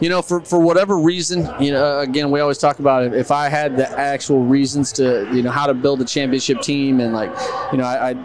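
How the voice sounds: Faint background noise under a man's medium-pitched voice, slightly mellow in tone, fairly quick in pace, with fairly even intonation.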